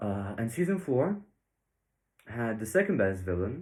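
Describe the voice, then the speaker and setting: A man with a Bulgarian accent speaks at a moderate pace in a fairly low, somewhat breathy voice. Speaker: YouTube reviewer. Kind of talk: video review commentary. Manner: casual, hesitant with fillers.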